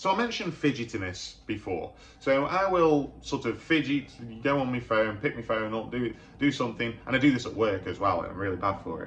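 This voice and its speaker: Noticeable background noise sits behind a man with a medium pitch. He speaks at a fairly quick pace with lively intonation. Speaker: mental health youtuber. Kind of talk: vlog monologue. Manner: halting, repeats words.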